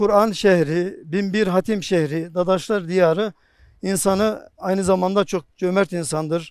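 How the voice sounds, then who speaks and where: His intonation stays fairly level. The man's voice sits high in pitch. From Bayburt, northeastern Turkey. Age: 40s. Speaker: district mufti. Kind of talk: interview monologue. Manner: formal.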